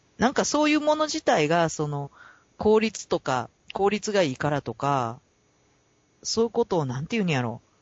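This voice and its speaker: The speaker talks at a moderate pace in a Kansai accent. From Kansai, Japan. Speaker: podcast co-host. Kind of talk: casual chat.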